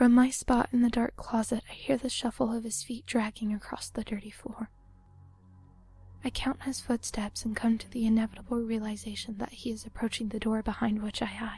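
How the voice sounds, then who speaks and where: Speech at a fairly quick pace with monotone, flat intonation plays over music in the background. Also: woman, fairly high pitch for a woman. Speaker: narrator reading a story. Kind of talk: creepypasta horror story narration.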